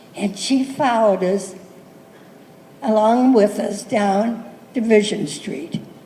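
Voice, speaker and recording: In an American accent, a woman talks at a very slow pace with long, frequent pauses, her fairly high pitch showing ordinary variation over noticeable background noise. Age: 80s+. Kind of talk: speech to students about school memories.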